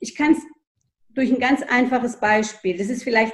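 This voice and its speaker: A woman's voice, fairly high in pitch and varied in an ordinary way. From Germany, child of Greek guest workers. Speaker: historian. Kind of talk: interview. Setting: video call. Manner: hesitant, many fillers.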